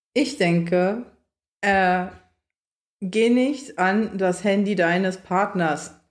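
A woman at medium pitch speaks at a very slow pace, with long, frequent pauses. Her pitch variation is ordinary and her loudness very even. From Berlin, Germany. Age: 20s. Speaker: social work student. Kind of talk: casual chat.

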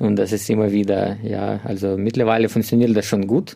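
The voice belongs to a man. It sits fairly low in pitch. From Ukraine. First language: Ukrainian or Russian (speaking German). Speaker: refugee shelter social worker. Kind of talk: interview.

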